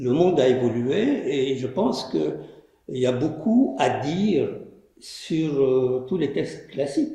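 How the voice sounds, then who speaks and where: The speaker goes at a very slow pace with lively intonation, and audible room echo surrounds the voice. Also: man, fairly high pitch for a man. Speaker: filmmaker and storyteller. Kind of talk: post-screening interview. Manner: soft-spoken.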